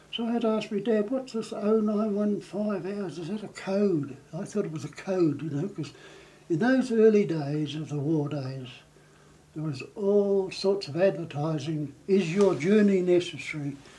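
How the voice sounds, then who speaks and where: With audible room echo, a man in a high voice speaks at a fairly slow pace with lively intonation. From New Zealand. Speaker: war veteran. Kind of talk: interview reminiscence.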